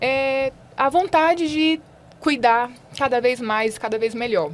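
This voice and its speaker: A high-voiced woman at a very slow pace. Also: lively intonation. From Brazil, far south of Bahia. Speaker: nursing professor. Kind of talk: podcast interview.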